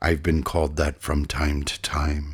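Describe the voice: A man's put-on character voice, extremely low in pitch, with a slightly husky edge and little pitch movement. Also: fairly slow pace.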